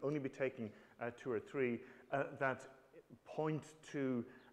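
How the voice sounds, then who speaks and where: Speech in a strong Irish accent at a moderate pace with fairly even intonation. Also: man. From Ireland. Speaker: professor. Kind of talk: lecture. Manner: halting, many fillers.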